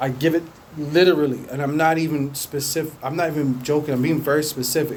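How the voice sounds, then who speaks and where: Fairly high in pitch, a man speaks at a very fast pace with fairly even intonation amid audible room echo. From England. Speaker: podcaster. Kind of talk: casual monologue. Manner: hesitant with repetitions and fillers.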